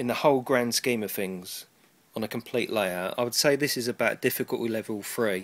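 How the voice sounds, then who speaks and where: Speaking in an English accent, a man talks at a fairly quick pace. His pitch is medium with ordinary variation. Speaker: hobbyist model railway maker. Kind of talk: casual tutorial. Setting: cold loft at home. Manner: hesitant, many ums.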